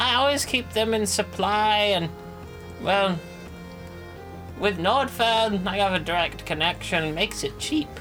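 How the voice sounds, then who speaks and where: A put-on character voice of middle pitch at a moderate pace, with long, frequent pauses and loud music in the background. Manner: dry, blunt.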